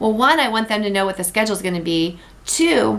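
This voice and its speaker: A woman at a medium pitch and fairly quick pace, with ordinary pitch variation. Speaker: sales director. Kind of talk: training tutorial. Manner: fast.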